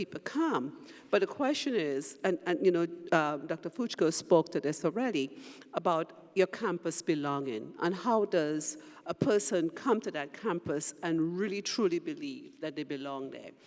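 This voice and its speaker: A moderate pace in a Trinidadian accent. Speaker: university president. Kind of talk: panel discussion.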